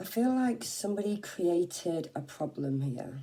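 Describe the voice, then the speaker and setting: A woman speaks with an English accent. Her pitch is fairly low and her tone dark and mellow. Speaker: tarot reader. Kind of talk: tarot reading. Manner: casual, halting with fillers.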